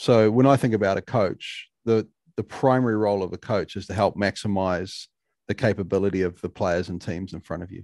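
In a New Zealand accent, a man speaks at a fairly quick pace with a fairly low pitch and fairly even intonation. The very clean recording has a silent background and a dry, close sound with no echo. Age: 40s. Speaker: mental performance coach. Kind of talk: podcast interview.

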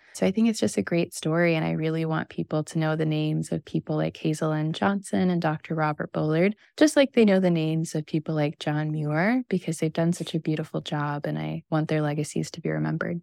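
Speaking at a very fast pace with hardly any pauses, a woman with a very deep, low pitch is heard in a very clean recording with a silent background and a dry, close sound with no echo. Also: ordinary pitch variation. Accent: American. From US Midwest, Missouri. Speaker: environmental activist and author. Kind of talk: interview.

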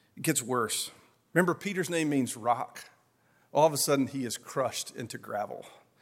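There is a man with an Appalachian accent. His pitch is fairly high and his pace moderate. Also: ordinary pitch variation. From Appalachia, US. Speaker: pastor. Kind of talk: sermon.

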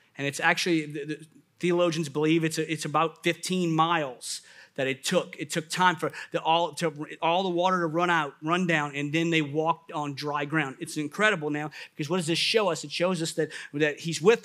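This man speaks with an American accent and a fairly high pitch. His intonation is fairly even, and the recording is very clean with a silent background. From US South, New Orleans. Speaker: pastor. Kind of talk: sermon.

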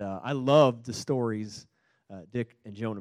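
With a normal speaking voice, a man talks at medium pitch and ordinary pitch variation in a dry, close sound with no echo. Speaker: pastor. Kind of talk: church service remarks. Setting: church.

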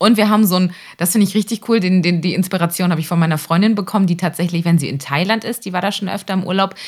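A woman speaks at a very fast pace with a somewhat breathy sound. Her pitch is medium, with ordinary variation. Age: 30s. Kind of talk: casual chat. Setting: video call. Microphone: close to the camera and mic, makeshift setup.

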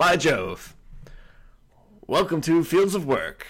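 A man puts on a theatrical character voice, high-pitched and raspy. He speaks at a very slow pace. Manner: old-timey, grand, theatrical.

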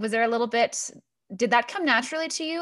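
Heard on a very clean recording with a silent background, this is an ordinary speaking voice with ordinary pitch variation. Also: woman. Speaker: podcast host. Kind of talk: interview.

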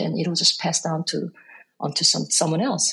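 A woman with a Korean accent, speaking at a moderate pace. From South Korea; Busan and Seoul. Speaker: jazz composer and bandleader. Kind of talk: interview conversation.

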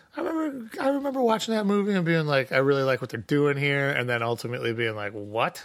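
Pitched fairly high for a man, he speaks very fast with hardly any pauses and very wide pitch swings, over noticeable background noise. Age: 40s. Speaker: musician. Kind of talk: casual chat.

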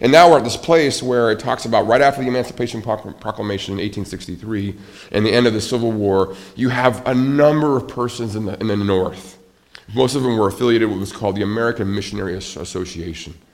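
A man's medium-pitched voice at a very fast pace, with noticeable background noise and audible room echo. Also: ordinary pitch variation. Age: 40s. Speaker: pastor. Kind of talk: sermon.

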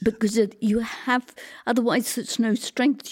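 A woman speaks with an English accent at a fairly high pitch. The recording is very clean, with a silent background. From England. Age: 70s. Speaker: theatre designer. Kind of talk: interview. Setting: at home.

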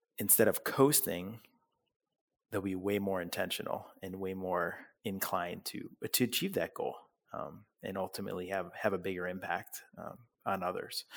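Speaking at a moderate speed, a man comes through on a very clean recording with a silent background. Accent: American. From US Midwest (Parma, Ohio, Cleveland suburb). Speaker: business co-founder. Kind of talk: interview about goal setting.

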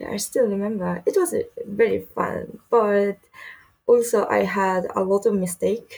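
Speaking fairly slowly, a woman talks with a Japanese accent. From Japan (Saitama). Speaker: DJ and music producer. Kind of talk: interview. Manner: halting.

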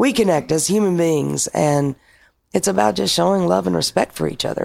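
The speaker talks at a moderate pace. The voice carries an Arkansas accent. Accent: Southern US (Arkansas). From Arkansas (Paragould). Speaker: bar owner. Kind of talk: casual interview.

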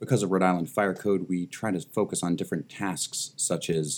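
The speaker moves at a moderate pace. Pitch variation is ordinary. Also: man. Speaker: escape room business owner, podcast guest. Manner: smooth, polished delivery.

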